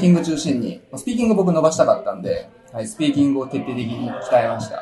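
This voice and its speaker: There is noticeable noise in the background. A man talks at a very fast pace. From Japan, Nagano. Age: 20s. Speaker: English school consultant. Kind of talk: casual interview. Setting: recorded at a language school branch.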